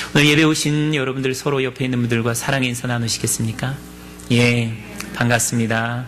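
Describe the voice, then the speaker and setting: A man talks at a fairly quick pace in a medium pitch, his intonation monotone and flat. Music plays in the background, and the room echo is audible. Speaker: pastor. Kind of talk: sermon.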